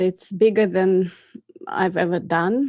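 A woman speaks with a Russian accent. The sound is dry and close, with no echo. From Russia, Moscow. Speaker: filmmaker. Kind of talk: interview.

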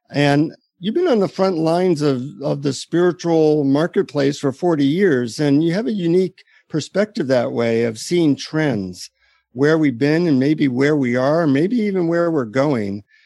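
At a fairly slow pace, a man with a fairly high pitch and a dark, mellow tone keeps his loudness very even. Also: lively intonation. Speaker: podcast co-host. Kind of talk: interview conversation.

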